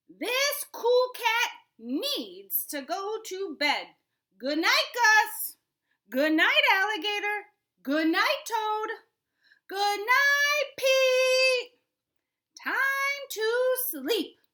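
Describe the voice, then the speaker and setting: Putting on a character voice, a woman speaks at an extremely high pitch and a very slow pace. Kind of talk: bedtime story. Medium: read story. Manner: laid-back, cool.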